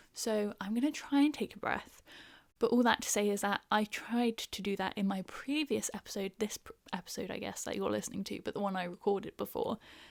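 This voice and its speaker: Dry, close sound with no echo, from a woman with a southern English accent at a fairly quick pace. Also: medium pitch for a woman, ordinary pitch variation. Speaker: podcast host. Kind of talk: casual chat. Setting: home recording. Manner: fast; animated.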